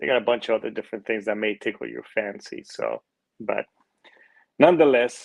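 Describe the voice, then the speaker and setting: A man speaks at a moderate pace, the sound dry and close with no echo. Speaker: podcast host. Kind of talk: casual chat. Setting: hotel room. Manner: talking quietly; less animated than usual.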